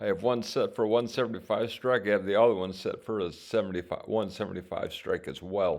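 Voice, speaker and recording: Against a quiet background, a man mumbles at a fairly quick pace in a fairly low pitch. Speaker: options trading vlogger. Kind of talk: screen-share tutorial. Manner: mumbling; halting.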